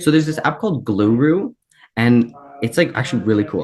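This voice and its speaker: Using a medium pitch and ordinary pitch variation, a man talks at a fairly quick pace. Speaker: student with type 1 diabetes. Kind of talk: panel discussion. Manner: fast; casual, many fillers.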